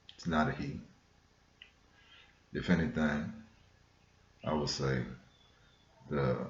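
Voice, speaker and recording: Long, frequent pauses break up speech in an American accent with ordinary pitch variation. Audible room echo surrounds it. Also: man, very deep, low pitch for a man. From US West Coast, South Central Los Angeles. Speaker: spiritual vlogger. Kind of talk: casual monologue on spirituality. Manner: conversational, frequent fillers.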